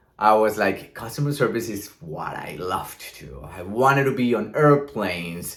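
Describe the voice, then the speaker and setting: With a Colombian accent, a man of fairly low pitch uses lively intonation on a very clean recording with a silent background. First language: Spanish. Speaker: vlogger. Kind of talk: casual vlog monologue. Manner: talkative, smiling.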